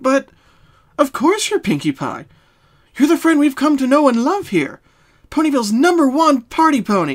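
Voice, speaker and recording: In a very clean recording with a silent background, a woman puts on a high-pitched character voice, moving at a moderate pace with long, frequent pauses. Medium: read story. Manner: gentle, reassuring.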